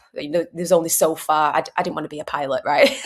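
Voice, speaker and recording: A woman's fairly low voice in a Manchester accent. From northern England, Manchester. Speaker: mindset consultant, former airline cabin crew. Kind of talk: podcast interview.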